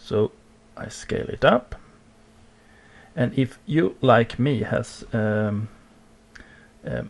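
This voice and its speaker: With a non-native accent, a man talks at a medium pitch with vocal fry and fairly even intonation. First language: not English. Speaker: digital art tutorial creator. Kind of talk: tutorial. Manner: halting, many fillers.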